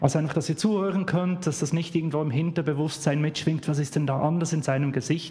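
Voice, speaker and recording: Speaking with a Swiss German accent, a man with a fairly high voice rushes along at a very fast pace with hardly any pauses and fairly even intonation. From Switzerland, Bern. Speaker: guest preacher. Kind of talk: sermon.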